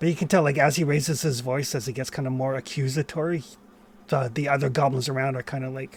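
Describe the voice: Plain reading aloud unfolds with fairly even intonation.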